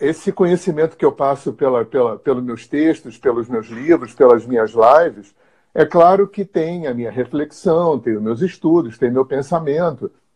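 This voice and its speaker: In an ordinary speaking voice, a man talks at a moderate pace with hardly any pauses, fairly high in pitch and with lively intonation, against a quiet background. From Rio de Janeiro, Brazil. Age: 60s. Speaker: therapist and teacher. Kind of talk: interview on spirituality.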